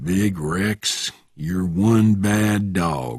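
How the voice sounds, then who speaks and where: In a put-on character voice with a Southern accent, a man sounds raspy at a very deep, low pitch with ordinary pitch variation. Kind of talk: quiet.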